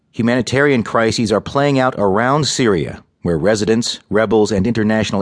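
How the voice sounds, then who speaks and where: It is a normal speaking voice: a man at a moderate pace and medium pitch with ordinary pitch variation, the sound dry and close with no echo over a quiet background. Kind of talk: news reading. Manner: formal; brisk, even headline delivery.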